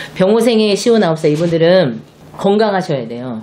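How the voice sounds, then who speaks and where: A woman's voice with very wide pitch swings. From South Korea. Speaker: shaman fortune teller. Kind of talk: fortune-telling monologue. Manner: animated. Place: home room.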